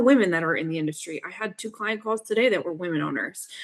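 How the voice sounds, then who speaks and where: A woman talks with lively intonation in an American accent. Her pitch sits fairly low. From US Northeast. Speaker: fractional CFO. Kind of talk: podcast interview. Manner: direct, assertive.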